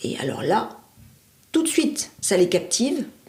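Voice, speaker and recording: A woman speaks at a moderate pace with very wide pitch swings. Noticeable background noise is present. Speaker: former trainer and teacher in professional training. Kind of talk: interview answer.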